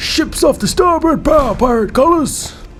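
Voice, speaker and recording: Putting on a character voice at an extremely high pitch, a man talks at a moderate pace with clear background noise behind him. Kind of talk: nautical pirate speech. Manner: gruff theatrical.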